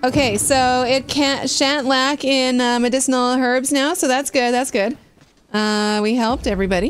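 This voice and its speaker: A high-pitched woman speaks at a moderate pace with very even loudness and fairly even intonation, faint music playing in the background. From Britain. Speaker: gaming streamer. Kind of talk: live game stream commentary. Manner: casual, chatty. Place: home room.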